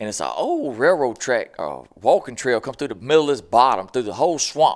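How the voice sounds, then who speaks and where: A man with a Southern US accent at a fairly quick pace, in a very clean recording over a silent background. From US South (Mississippi). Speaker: internet comedian and turkey hunter. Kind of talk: casual chat.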